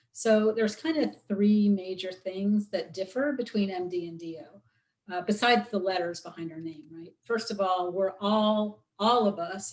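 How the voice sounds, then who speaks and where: A woman with an American accent speaks at a moderate pace with hardly any pauses, in an ordinary speaking voice. Her pitch variation is ordinary, while her loudness swings widely. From US Midwest, Chicago. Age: 50s. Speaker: osteopathic physician. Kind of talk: guest talk in interview.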